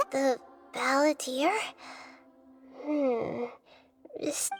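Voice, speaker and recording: A female-sounding voice performs a put-on character at a high pitch. Faint music plays in the background. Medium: machinima. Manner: calm, thoughtful, measured.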